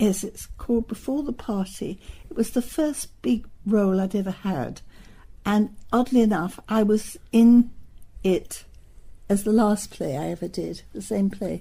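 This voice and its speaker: A woman speaks at a fairly high pitch and a fairly slow pace in a London accent. Her tone is dark and mellow, and somewhat breathy. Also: ordinary pitch variation. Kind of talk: oral history interview answer. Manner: reminiscing, conversational.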